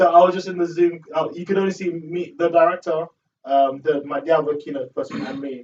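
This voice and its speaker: Loudness swings widely at a fairly quick pace. Pitch variation is ordinary. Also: man, high pitch for a man. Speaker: student speaker for a refugee education charity. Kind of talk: casual chat. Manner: mumbling.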